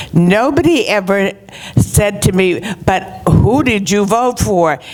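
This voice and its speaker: A woman speaks with lively intonation. There is noticeable background noise. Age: 80s+. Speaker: retirement community resident. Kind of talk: public meeting speech.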